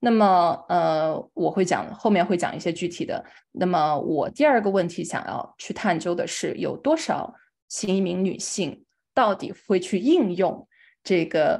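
A woman with a slight Chongqing accent speaks at a fairly slow pace with medium pitch. Her intonation is lively, and the background is quiet. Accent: slight Chongqing accent in Mandarin. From China, Chongqing. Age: young. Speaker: nonprofit fundraising director. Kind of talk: lecture.

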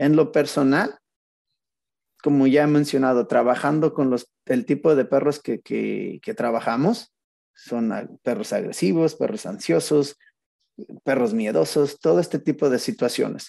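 In a Mexican accent, a man speaks fairly slowly with a fairly high pitch, a dark, mellow tone and lively intonation. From Mexico, Zacatecas. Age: 40s. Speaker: dog trainer. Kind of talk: casual interview. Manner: calm, relaxed.

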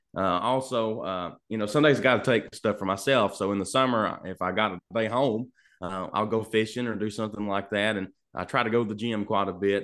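A drawling Southern US accent, fairly bright in tone, with ordinary pitch variation and a fairly quick pace. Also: man.

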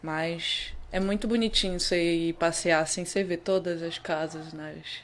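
A woman with an unremarkable speaking voice talks at a fairly low pitch, keeping her intonation fairly even. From Pará, northern Brazil (Vigia). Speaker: footballer. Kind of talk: interview.

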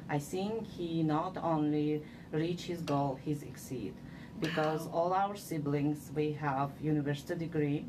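A woman speaks with an Uzbek accent at a very deep, low pitch. Her pace is fairly slow and her intonation fairly even. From Uzbekistan. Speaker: civil engineer, city manager. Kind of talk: interview. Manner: halting.

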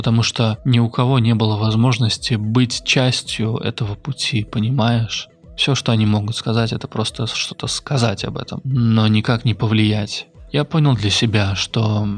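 With fairly even intonation, this man uses an ordinary speaking voice pitched in the middle range. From central Russia. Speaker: podcaster. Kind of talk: personal monologue. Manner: reflective.

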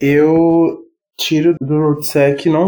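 A man's fairly high voice, dark and mellow in tone, with monotone, flat intonation. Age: 20s. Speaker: junior security analyst. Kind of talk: casual chat.

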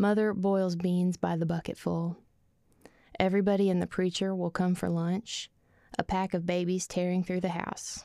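Speaking with an Arkansas accent, a woman uses a medium pitch, a moderate pace, and flat, monotone intonation. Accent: Arkansas Southern. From Arkansas, rural Ozarks (Calico Rock area). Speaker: poet. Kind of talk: casual interview chat; poetry reading. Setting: studio.

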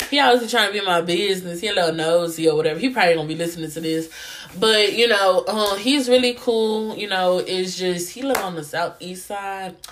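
A woman speaks at a fairly quick pace in an animated tone, with a medium pitch and ordinary pitch variation. The room echo is audible, and the background noise is noticeable. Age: 20s. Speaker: podcast host; college student. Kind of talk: casual monologue.

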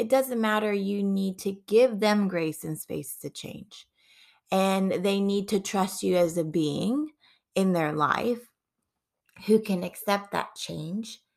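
Very slow speech from a woman at a medium pitch. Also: ordinary pitch variation. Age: 30s. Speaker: parenting podcast host. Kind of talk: solo monologue.

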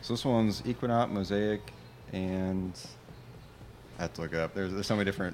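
A man with an American accent at a very fast pace, fairly low in pitch with ordinary pitch variation and long, frequent pauses. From US Midwest, Indiana (high school in Terre Haute). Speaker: brewery owner and brewer. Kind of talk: casual chat. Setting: on location at a brewery.

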